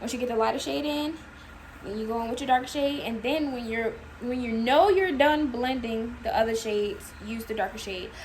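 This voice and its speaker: A woman's high voice at a moderate pace, with ordinary pitch variation, audible room echo and noticeable background noise. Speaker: makeup artist. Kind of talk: tutorial.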